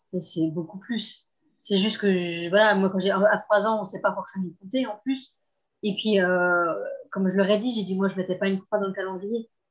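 A woman talks at a moderate pace with medium pitch. Her intonation stays fairly even. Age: 30s. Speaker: abuse survivor sharing her story. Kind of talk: testimony. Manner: halting.

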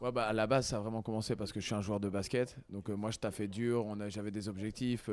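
A man talks at a fairly quick pace with hardly any pauses. His pitch is fairly low and his intonation monotone and flat. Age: 30s. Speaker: basketball coach and sports centre founder. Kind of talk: casual interview.

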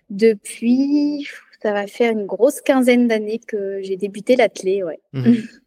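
In a dry, close recording with no echo, a woman speaks at a fairly slow pace with a fairly high pitch, a dark, mellow tone and ordinary pitch variation. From France, Loire (Auvergne-Rhône-Alpes). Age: 20s. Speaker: adapted physical activity teacher and trail runner. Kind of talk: interview testimony.

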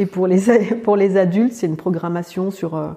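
A woman speaks with a dark, mellow tone. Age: 40s. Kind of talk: interview testimony. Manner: halting, with frequent hesitations.

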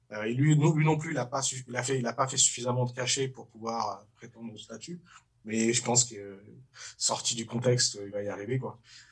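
A somewhat breathy voice at a fairly quick pace, with fairly even intonation and big swings in loudness. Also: man, medium pitch for a man. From Paris suburbs, France. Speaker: comedian. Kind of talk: casual chat. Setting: studio.

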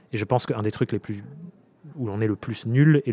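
Speaking at a medium pitch, a man moves at a fairly quick pace with fairly even intonation. The sound is dry and close, with no echo. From France, Dordogne. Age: 20s. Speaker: freelance coach and podcaster. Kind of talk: casual interview. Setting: live recording at a festival with audience.

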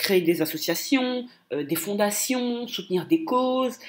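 Her tone is animated as the woman speaks. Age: 20s. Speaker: business coach. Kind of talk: solo podcast monologue. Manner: hesitant, frequent repetitions.

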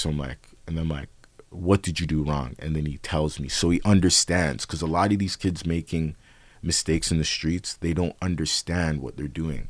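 With a Toronto accent, a man speaks at a moderate pace in a very deep, low voice, his intonation fairly even, on a very clean recording with a silent background. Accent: Toronto urban English. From Canada, Toronto (Scarborough). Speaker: rapper. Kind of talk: casual chat.

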